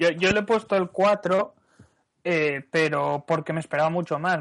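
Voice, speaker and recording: Against a quiet background, a man speaks at a moderate pace in an unremarkable speaking voice with ordinary pitch variation. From Asturias, Spain. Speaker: podcast panelist. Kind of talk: casual chat.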